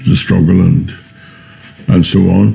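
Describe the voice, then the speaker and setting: In a Northern Irish accent, the speaker shows ordinary pitch variation over noticeable background noise. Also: man. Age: 70s. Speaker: republican activist. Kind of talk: documentary interview. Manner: halting.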